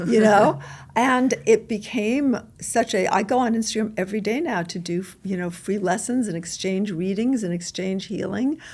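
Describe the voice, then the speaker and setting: A woman with an American accent speaks in a somewhat breathy voice with ordinary pitch variation. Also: medium pitch for a woman, moderate pace. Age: 60s. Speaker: intuitive and author. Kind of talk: podcast interview.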